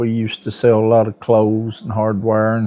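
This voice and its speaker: Fairly slow speech from a man with an Appalachian accent, medium in pitch, dark and mellow in tone. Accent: Appalachian Southern. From US South, western North Carolina mountains. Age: 60s. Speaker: store owner. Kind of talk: interview.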